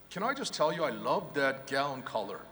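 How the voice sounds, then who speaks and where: Noticeable background noise and audible room echo surround a man's voice. He speaks at a fairly quick pace with ordinary pitch variation. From South Korea, then California from age 15. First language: Korean. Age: 50s. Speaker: professor. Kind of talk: commencement speech. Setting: arena stage with audience.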